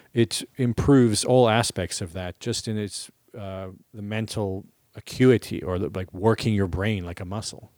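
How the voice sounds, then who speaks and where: An ordinary speaking voice from a man, fairly low in pitch, with fairly even intonation and a moderate pace, dry and close with no echo on a very clean recording against a silent background. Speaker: podcast host and touring musician. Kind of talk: casual chat.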